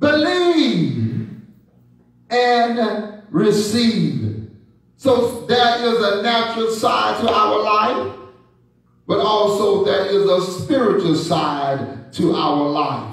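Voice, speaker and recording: A very slow Southern US accent with very wide pitch swings in strong room echo. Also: man, high pitch for a man, very even loudness. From Texas. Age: 70s. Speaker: bishop and preacher; bishop, preacher. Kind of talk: sermon. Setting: church. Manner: animated. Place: church.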